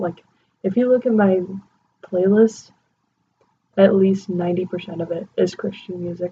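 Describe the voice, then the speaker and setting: The speaker is a woman at a medium pitch. Her voice is somewhat breathy. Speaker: movie reviewer. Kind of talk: casual talk to camera. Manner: whispered.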